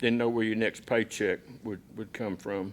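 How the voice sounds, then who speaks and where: A man with a plain, everyday voice speaks at a medium pitch with fairly even intonation. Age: 60s. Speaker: football coach, keynote speaker. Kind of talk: keynote speech. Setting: banquet stage with audience.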